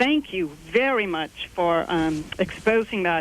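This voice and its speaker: A woman in an American accent with ordinary pitch variation, over noticeable background noise. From Texas (San Antonio). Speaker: caller. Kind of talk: call-in question. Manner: halting, many fillers.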